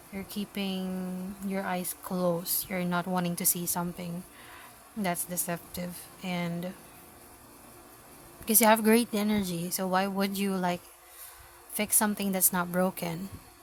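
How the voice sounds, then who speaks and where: A woman with a Filipino accent talks in a somewhat breathy, monotone voice with flat intonation and long, frequent pauses. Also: medium pitch for a woman, fairly slow pace. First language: Filipino language. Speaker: tarot reader. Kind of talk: tarot reading. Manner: halting.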